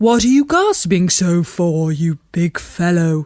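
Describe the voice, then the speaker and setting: A female-sounding put-on character voice, middle in pitch and fairly slow in pace. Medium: read story.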